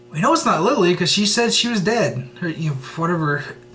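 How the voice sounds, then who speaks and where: Amid audible room echo, a man's voice moves in very wide pitch swings. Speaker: TV show reviewer. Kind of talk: video review monologue. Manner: fast; stumbling over words.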